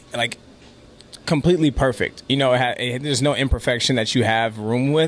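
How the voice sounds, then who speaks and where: With a Californian accent, a man speaks at a fairly quick pace and medium pitch, his intonation fairly even, over noticeable background noise. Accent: Californian American English. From Los Angeles, then North County San Diego from age 12. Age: 20s. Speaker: dancer. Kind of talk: interview. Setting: coffee house.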